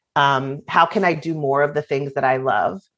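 A woman with an American accent and a very deep, low pitch speaks at a moderate pace with fairly even intonation over a quiet background. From Virginia. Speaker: nonprofit founder and author. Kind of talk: interview.

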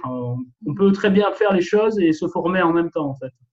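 The man's speech moves at a moderate pace. Ordinary variation marks his pitch. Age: 40s. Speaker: real estate investor and paramedical worker. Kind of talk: interview. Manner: halting, many repetitions and fillers.

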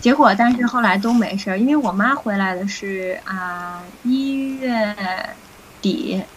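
At a very slow pace, a woman speaks fairly high with ordinary pitch variation, amid noticeable background noise and audible room echo. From Beijing, China. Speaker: recovered COVID patient sharing experience. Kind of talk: interview conversation.

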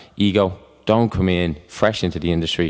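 A man's very deep, low voice at a moderate pace. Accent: Dublin. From Ireland (Dublin). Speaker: personal trainer and gym owner. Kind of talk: casual chat. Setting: studio.

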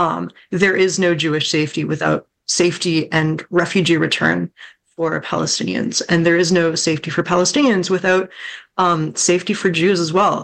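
In an American accent, a woman with a fairly low pitch and vocal fry speaks at a moderate pace, with fairly even intonation and very even loudness. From Southwest Washington, US. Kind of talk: panel discussion.

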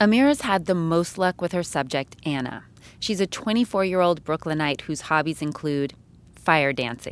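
A woman speaks in a plain, everyday voice, fairly low in pitch, with lively intonation at a moderate pace. The recording is very clean, with a silent background. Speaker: radio producer. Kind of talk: radio narration.

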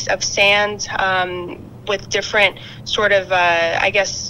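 A fairly slow pace, with noticeable background noise. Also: woman. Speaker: veterinarian. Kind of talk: interview explaining veterinary topic. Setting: phone call.

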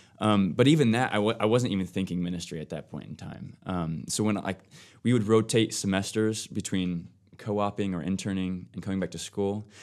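With an American accent and a normal speaking voice, a man talks at a fairly quick pace, fairly low in pitch with ordinary pitch variation and big swings in loudness. The recording is very clean, with a silent background. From US Midwest, Ohio. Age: 20s. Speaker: new church staff member, former engineer. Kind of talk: casual chat.

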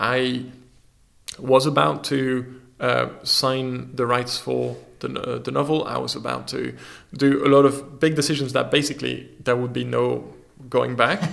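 This man has a French accent. His pace is fairly slow. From France. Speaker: magazine publisher and creative technologist. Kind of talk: interview conversation. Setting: studio.

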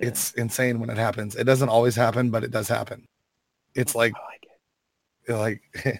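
Pausing long and often, a man speaks at medium pitch and a moderate pace in a monotone, flat intonation. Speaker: mobile game player guest. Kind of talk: casual chat.

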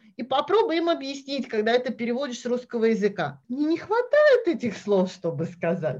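A woman speaks at a high pitch with hardly any pauses. Her pitch swings very widely. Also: moderate pace. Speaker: Russian expat mother. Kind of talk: casual chat.

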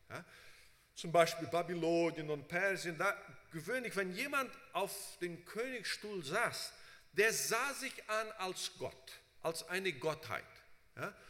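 Over noticeable background noise, a man speaks very slowly in a high voice with lively intonation and long, frequent pauses. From Brazil. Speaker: preacher and Bible seminary teacher. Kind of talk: sermon. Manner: frequent fillers, halting.

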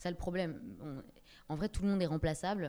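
Her tone is dark and mellow, and this woman keeps her intonation fairly even. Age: 20s. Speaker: actress. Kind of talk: casual chat. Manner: halting.

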